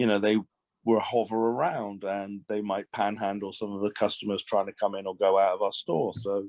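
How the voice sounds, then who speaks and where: A man with an English accent speaks at a moderate pace in a fairly low pitch and a monotone, flat intonation. The sound is dry and close with no echo, over a quiet background. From England, Swindon. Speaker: shop owner. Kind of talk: casual chat.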